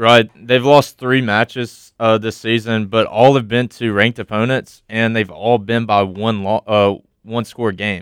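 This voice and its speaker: The delivery is fairly slow, monotone and flat, with hardly any pauses. The recording is very clean with a silent background. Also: man, medium pitch for a man. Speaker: college radio sports co-host. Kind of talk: sports talk radio. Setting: studio.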